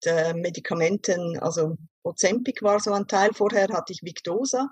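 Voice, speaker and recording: An unremarkable speaking voice, a woman's, comes at a medium pitch and a fairly slow pace. The sound is dry and close, with no echo. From Switzerland. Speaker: vocational school teacher, diabetes client. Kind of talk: interview testimony.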